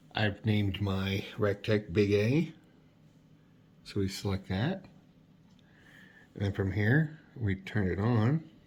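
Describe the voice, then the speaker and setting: In a very clean recording with a silent background, a man speaks very slowly and somewhat breathily at a fairly low pitch, with ordinary pitch variation and long, frequent pauses. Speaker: cooking video host. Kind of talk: tutorial.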